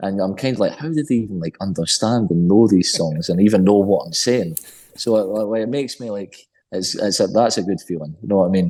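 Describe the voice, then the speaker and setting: The voice has a dark, mellow tone and a Scottish accent, moving at a fairly quick pace with ordinary pitch variation. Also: man, fairly low pitch for a man. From Scotland. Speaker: rock band singer. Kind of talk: interview. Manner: fast.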